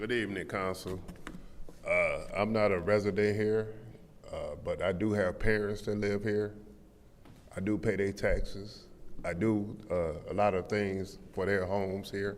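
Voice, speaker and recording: A man in an American accent speaks fairly slowly at a fairly low pitch, leaving long, frequent pauses. Room echo is audible. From Flint, Michigan. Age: 60s. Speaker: public commenter. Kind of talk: public comment at council meeting. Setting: city council chamber. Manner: animated.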